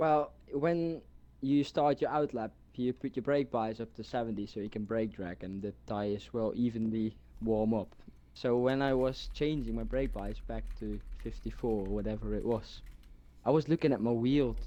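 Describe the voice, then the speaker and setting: A man with a dark, mellow tone speaks against a quiet background. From Netherlands. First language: Dutch. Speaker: sim racing driver. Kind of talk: post-race interview.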